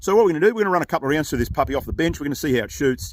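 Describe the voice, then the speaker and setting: Lively intonation and vocal fry in an Australian accent. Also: man. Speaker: gun reviewer and channel host. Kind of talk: product review. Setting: outdoors at shooting range. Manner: casual, halting with fillers.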